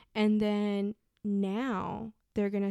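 A woman of medium pitch with a Spanish accent and a dark, mellow tone, on a very clean recording with a silent background and a dry, close sound with no echo. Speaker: mother of child with hearing loss. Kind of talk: casual interview chat.

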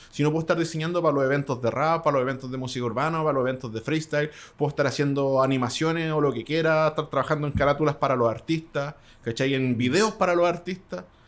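Very fast speech from a man with a Chilean accent, fairly high pitch, and ordinary pitch variation. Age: 30s. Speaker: beatmaker and DJ. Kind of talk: casual interview.

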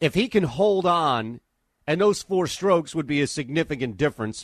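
Here a man speaks at a moderate pace with lively intonation in a normal speaking voice. The sound is dry and close, with no echo. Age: 40s. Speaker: sports radio host. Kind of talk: sports talk radio. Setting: studio.

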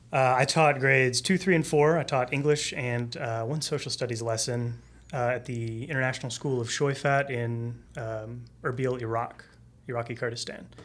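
Using a plain, everyday voice, a man with an American accent speaks at a moderate pace and medium pitch with fairly even intonation. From Texas. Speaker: former English teacher, data team staff. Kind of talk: casual chat. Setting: studio.

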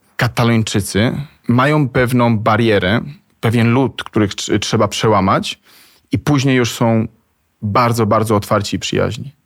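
A man with an unremarkable speaking voice talks at medium pitch and moderate pace with fairly even intonation. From Spain, Argentina, Colombia (diplomat's child). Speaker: travel agency founder. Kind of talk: interview. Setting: studio.

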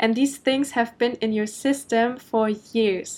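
A woman talks at a moderate pace in a German accent. Her pitch sits fairly high. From Germany. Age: 20s. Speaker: podcast host, business coach. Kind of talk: solo podcast monologue. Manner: casual, with filler ums.

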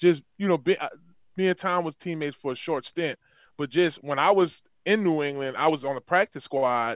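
An animated man with a fairly high pitch speaks at a moderate pace with ordinary pitch variation. The recording is very clean and silent in the background, with a dry, close sound and no echo. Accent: New Orleans. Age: 30s. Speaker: former NFL player and football coach. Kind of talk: casual chat.

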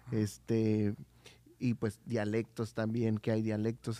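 A man speaks at a fairly slow pace with a medium pitch and a dark, mellow tone. The background is quiet. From Oaxaca, Mexico. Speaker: church volunteer on radio ministry. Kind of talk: casual chat.

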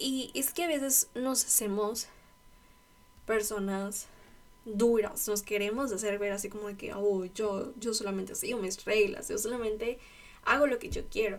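A woman with a fairly high pitch and ordinary pitch variation talks at a fairly slow pace. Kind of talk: devotional talk. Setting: at home in her bedroom. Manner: casual.

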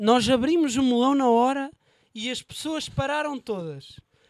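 A man's voice at an extremely high pitch, with a European Portuguese accent, on a very clean recording with a silent background. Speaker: podcast host and news portal interviewer. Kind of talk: casual chat.

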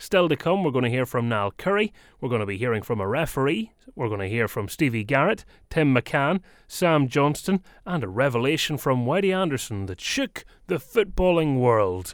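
In a Northern Irish accent, a man speaks at a moderate pace and medium pitch with very wide pitch swings. The recording is very clean, with a silent background. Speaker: radio host. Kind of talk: radio show recap with clips.

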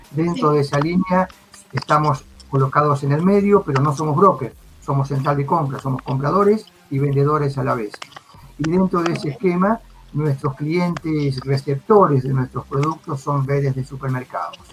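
At a moderate pace, a man with a fairly high pitch and ordinary pitch variation talks over noticeable background noise. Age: 50s. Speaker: virtual trade fair organizer. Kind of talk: live video interview.

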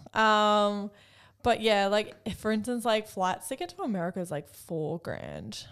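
A woman speaks at a fairly slow pace with a medium pitch. Her pitch varies in an ordinary way on a very clean recording with a silent background. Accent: Australian. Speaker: podcast co-host. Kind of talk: casual chat.

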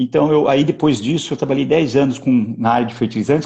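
A man's dark, mellow tone with vocal fry, ordinary pitch variation and a moderate pace. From interior of São Paulo state, Brazil. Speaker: agronomist, agribusiness executive. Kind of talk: interview. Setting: online live stream.

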